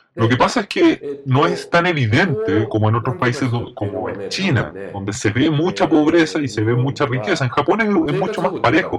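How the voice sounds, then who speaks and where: Over noticeable background noise, a man talks at a moderate pace with very wide pitch swings and hardly any pauses. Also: fairly high pitch for a man. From Japan, Kitakyushu. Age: 50s. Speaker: design company executive. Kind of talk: interview.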